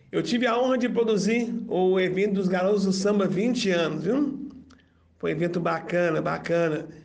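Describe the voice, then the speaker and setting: Audible room echo surrounds a man speaking at a fairly slow pace with ordinary pitch variation. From Brazil, Belo Horizonte. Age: 40s. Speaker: political candidate and event producer. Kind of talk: interview.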